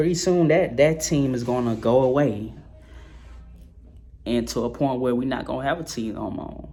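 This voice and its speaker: With audible room echo and noticeable background noise, a man of medium pitch speaks at a moderate pace with ordinary pitch variation and long, frequent pauses. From New Orleans, Louisiana. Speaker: sports vlogger. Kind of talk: casual monologue vlog. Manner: slurred; halting, repetitive.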